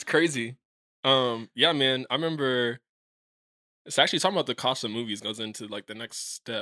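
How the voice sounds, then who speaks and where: A man with an American accent, medium pitch, bright, sharp tone and ordinary pitch variation, at a fairly quick pace with big swings in loudness and long, frequent pauses, in a very clean recording with a silent background and a dry, close sound with no echo. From Kansas City, US Midwest. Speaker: actor. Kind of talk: casual chat.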